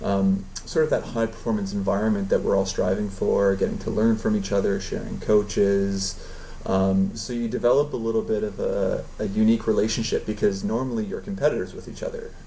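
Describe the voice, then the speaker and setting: A man with a Canadian accent and a fairly low voice talks at a fairly quick pace with fairly even intonation. Noticeable background noise and audible room echo are present. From Canada. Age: 30s. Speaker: professional beach volleyball player. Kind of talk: interview. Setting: live stream.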